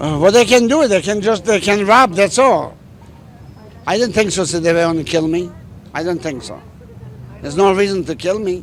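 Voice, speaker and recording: Over noticeable background noise, a high-voiced man speaks with long, frequent pauses. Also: ordinary pitch variation, moderate pace. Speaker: store owner. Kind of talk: interview answer.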